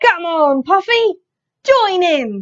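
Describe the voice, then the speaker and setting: Using a put-on character voice, a woman pitches her speech extremely high. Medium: read story.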